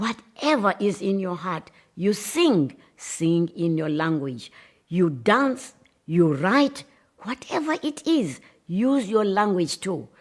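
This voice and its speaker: With a South African accent, a woman speaks very slowly, her pitch swinging very widely. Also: medium pitch for a woman. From South Africa, Xhosa-speaking. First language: isiXhosa. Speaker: writer. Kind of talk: speech. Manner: impassioned.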